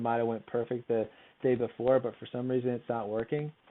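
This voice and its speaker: The man speaks with monotone, flat intonation. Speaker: career services advisor. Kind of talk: recorded presentation on interviewing. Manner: fast; mumbling.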